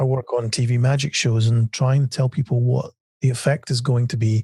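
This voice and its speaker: A man's somewhat breathy, medium-pitched voice with a dark, mellow tone at a moderate pace, dry and close with no echo. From Scotland. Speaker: magician and TV writer. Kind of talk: podcast interview. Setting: podcast. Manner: halting, many fillers.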